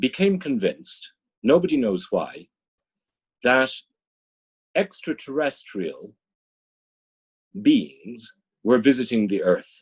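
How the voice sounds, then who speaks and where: A man with an Irish accent talks at a very slow pace. He takes long, frequent pauses. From Dublin, Ireland. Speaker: business executive and strategy consultant. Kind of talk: interview answer.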